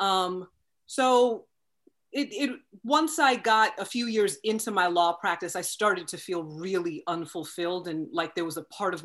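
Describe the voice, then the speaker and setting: With an American accent, a woman speaks in an unremarkable speaking voice at a fairly slow pace, her medium pitch carrying lively intonation over a quiet background. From Long Island, New York. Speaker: actress. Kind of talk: interview.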